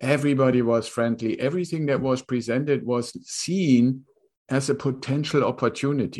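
A man with a German accent speaks at a moderate pace and medium pitch, his loudness very even and his pitch varying in an ordinary way against a quiet background. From Germany. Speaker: real estate investor. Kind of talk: interview.

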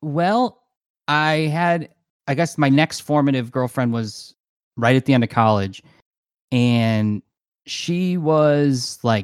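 Ordinary pitch variation marks a man's voice, recorded very clean with a silent background in a dry, close sound with no echo. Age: 30s. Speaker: podcast guest, crossdresser. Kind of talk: casual chat.

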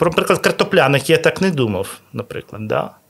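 A man is speaking. His pitch swings very widely. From Ukraine, Odesa. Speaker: restaurateur. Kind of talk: interview. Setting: hotel restaurant recording.

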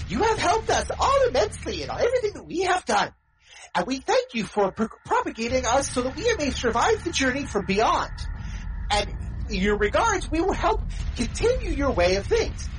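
A squeaky, high-pitched put-on character voice swings very widely in pitch. The pace is moderate. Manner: formal, grateful.

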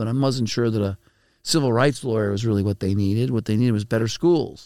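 A man with an American accent talks at a very fast pace and a medium pitch. His tone is dark and mellow, his intonation fairly even, and the recording very clean with a silent background. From Brooklyn, New York. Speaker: think tank president. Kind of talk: interview. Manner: halting.

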